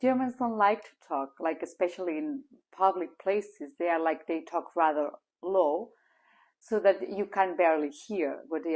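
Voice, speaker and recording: Over a quiet background, a woman speaks fairly slowly in a Spanish accent. Her pitch is fairly low and her intonation lively. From Spain. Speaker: language teacher. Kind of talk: casual vlog talk. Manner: loud.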